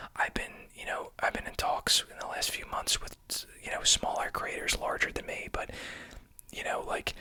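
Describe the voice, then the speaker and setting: Someone whispers with long, frequent pauses. Background noise is noticeable. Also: moderate pace. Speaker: ASMR content creator. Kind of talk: whispered ASMR monologue. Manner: whispering; soft-spoken.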